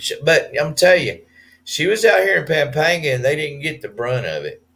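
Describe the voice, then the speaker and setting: A man with a Southern US accent. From US South. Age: 50s. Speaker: expat vlogger. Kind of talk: live stream chat. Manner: hesitant with fillers.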